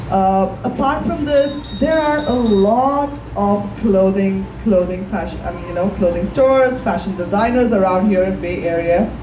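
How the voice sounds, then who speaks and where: Lively intonation moves along at a moderate pace. Audible room echo and noticeable background noise surround the speech. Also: woman, medium pitch for a woman. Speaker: fashion designer, entrepreneur. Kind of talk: panel discussion.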